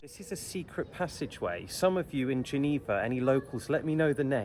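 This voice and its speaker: Speaking with an English accent, a man talks at a fairly quick pace and medium pitch with lively intonation. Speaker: travel vlogger. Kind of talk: walking tour guide. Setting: outdoors. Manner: animated.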